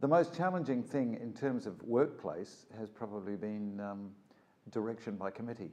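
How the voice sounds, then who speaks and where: With a New Zealand accent, a man talks at medium pitch and a moderate pace, his dark, mellow tone marked by lively intonation. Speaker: voice actor. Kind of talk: interview monologue. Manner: warm but authoritative; halting, many fillers.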